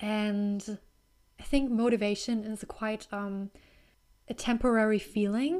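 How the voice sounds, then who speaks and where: A woman in a German accent, fairly high in pitch, at a fairly slow pace with long, frequent pauses. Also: ordinary pitch variation, very clean recording, silent background. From Germany. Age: 20s. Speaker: podcast host. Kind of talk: solo casual talk. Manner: soft-spoken, reserved; halting, many fillers.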